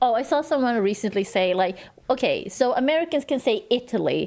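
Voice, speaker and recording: Mumbling, a woman talks in a high pitch with lively intonation. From Sweden. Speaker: streamer. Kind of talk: casual chat. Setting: livestream.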